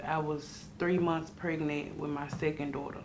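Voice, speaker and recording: In audible room echo, a woman with a very deep, low pitch speaks in a monotone, flat intonation. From US South, Memphis, Tennessee. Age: 20s. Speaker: formerly homeless young mother. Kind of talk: interview testimony. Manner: halting, many fillers.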